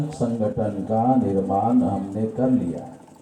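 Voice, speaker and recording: A man with lively intonation, plus noticeable background noise and audible room echo. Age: 60s. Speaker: national president of a political-social organisation. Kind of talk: political rally speech.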